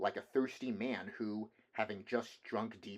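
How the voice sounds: The speaker has a natural reading voice.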